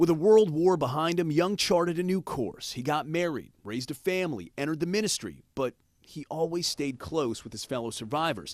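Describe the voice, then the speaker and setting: A man's normal speaking voice, fairly high in pitch, with lively intonation, big swings in loudness, a fairly quick pace and hardly any pauses. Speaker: TV news reporter. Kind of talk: TV news report narration.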